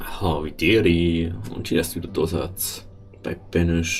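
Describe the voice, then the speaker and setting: The man's pitch is very deep and low, his intonation fairly even. He talks at a fairly slow pace against noticeable background noise. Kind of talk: let's play game commentary. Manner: casual, rambling.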